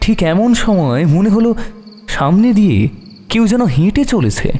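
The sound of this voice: Speaking at a fairly slow pace, a man with a high pitch and a dark, mellow tone makes big pitch swings.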